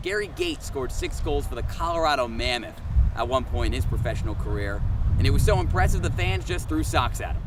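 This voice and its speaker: Over noticeable background noise, a man with an American accent talks at a very fast pace in an upbeat, playful tone. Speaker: TV sports reporter and anchor. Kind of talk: sports anchor read to camera. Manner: upbeat, playful, punchy.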